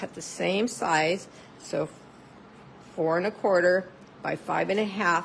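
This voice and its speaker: Noticeable background noise surrounds a woman's voice. Her pitch is fairly low, with ordinary variation. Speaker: paper crafting demonstrator. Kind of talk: live craft tutorial. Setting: live video stream. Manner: animated.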